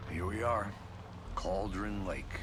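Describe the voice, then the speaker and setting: Amid loud background noise, a man does a put-on character voice at a fairly low pitch. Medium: game stream. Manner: dry, deadpan.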